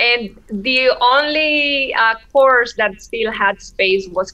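A woman speaks at a high pitch with ordinary pitch variation in a Spanish accent. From Mexico, Oaxaca. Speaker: classical guitarist. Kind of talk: interview. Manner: hesitant, frequent laughter.

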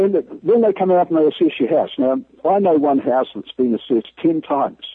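Here a man with a New Zealand accent speaks at a moderate pace. His pitch is high and swings very widely. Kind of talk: phone interview, critical. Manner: blunt, frustrated.

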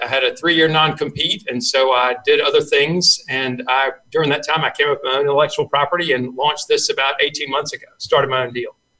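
A man with a Southern US accent, bright and sharp in tone, with fairly even intonation. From US South Carolina. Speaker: sales trainer. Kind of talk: casual interview chat.

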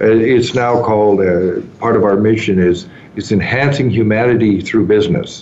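A man talks with ordinary pitch variation and very even loudness over noticeable background noise and audible room echo. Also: fairly low pitch for a man, moderate pace. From Canada, southern Ontario. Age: 60s. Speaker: entrepreneur. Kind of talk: interview.

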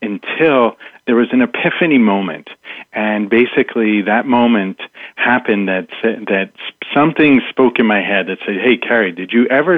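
Lively intonation and a moderate tempo in a plain, everyday voice. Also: man. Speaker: mindset coach. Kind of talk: radio interview.

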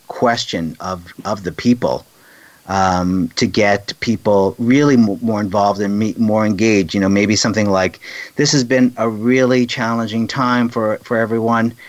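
A man talks in a normal speaking voice at a medium pitch and moderate pace, with ordinary pitch variation. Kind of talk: casual interview chat.

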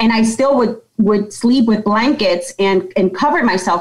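A woman with a normal speaking voice, a fairly high pitch, ordinary pitch variation and an American accent. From Yonkers, New York. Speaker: company president. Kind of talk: interview, personal story.

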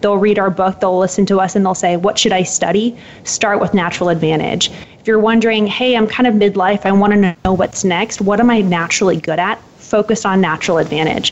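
A woman at a medium pitch and fairly quick pace, fairly even intonation, noticeable background noise. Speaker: author and purpose coach. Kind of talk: interview. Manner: crisp, eloquent.

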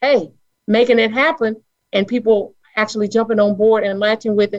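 Talking at a moderate pace, a woman with an American accent has an unremarkable speaking voice at a fairly high pitch. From Charlotte, North Carolina. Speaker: caller, middle school teacher.

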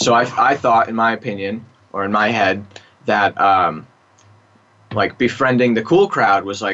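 Using an unremarkable speaking voice with an American accent, a man speaks at a medium pitch and moderate pace with ordinary pitch variation. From US East Coast suburbs. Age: 20s. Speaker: addiction treatment client. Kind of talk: interview.

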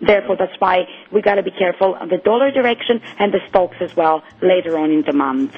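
Lively intonation marks a woman speaking at a medium pitch and a very fast pace. Noticeable background noise runs behind her. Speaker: currency market analyst. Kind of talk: radio market commentary. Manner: hesitant, filler-heavy.

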